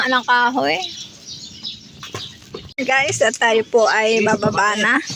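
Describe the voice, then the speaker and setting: Noticeable background noise continues under speech delivered at a very slow pace. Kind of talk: casual vlog narration to camera. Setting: outdoors. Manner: polite, upbeat.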